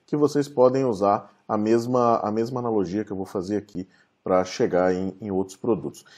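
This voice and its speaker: A man speaks at a moderate speed. Behind him, the background stays quiet. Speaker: presenter. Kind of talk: online talk presentation. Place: home room. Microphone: webcam.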